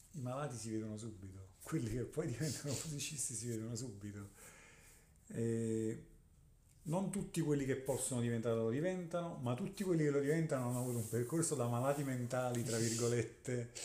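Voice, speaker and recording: A man speaks at a fairly quick pace with a medium pitch, a dark, mellow tone, a somewhat breathy quality and ordinary pitch variation, with audible room echo. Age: 40s. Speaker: guitarist. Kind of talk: casual interview.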